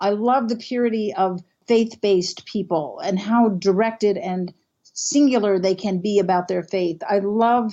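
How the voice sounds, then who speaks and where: This woman uses a normal speaking voice at a medium pitch, talking at a fairly slow pace with ordinary pitch variation. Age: 60s. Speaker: canopy ecologist and professor. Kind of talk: interview.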